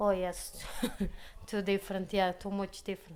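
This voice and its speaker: In a Portuguese accent, a woman speaks at a fairly slow pace. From Portugal. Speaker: deli worker. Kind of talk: interview. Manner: halting, broken English.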